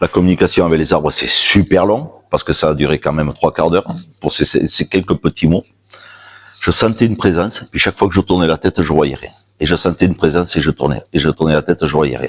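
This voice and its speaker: Recorded with a dry, close sound and no echo, a man with a very deep, low voice talks fairly quickly with ordinary pitch variation. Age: 50s. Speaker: shamanism practitioner giving a talk. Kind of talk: public talk with personal storytelling. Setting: stage with audience at a fair. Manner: loud; animated.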